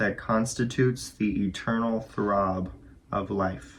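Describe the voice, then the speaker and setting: At a very slow pace, a man with a medium pitch speaks in a soothing, calm tone that is somewhat breathy. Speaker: audiobook reader. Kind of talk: spiritual nonfiction book reading.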